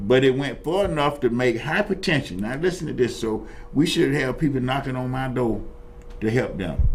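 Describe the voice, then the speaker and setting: A man speaks in an animated tone with lively intonation. Room echo can be heard. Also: medium pitch for a man, moderate pace. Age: 70s. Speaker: talk show host and Vietnam veteran. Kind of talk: casual talk show discussion. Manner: animated, repetitive stammering restarts.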